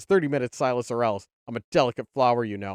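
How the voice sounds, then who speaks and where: A man speaks in a put-on character voice. He talks at a very fast pace. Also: medium pitch for a man. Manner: imperious, theatrical, threatening.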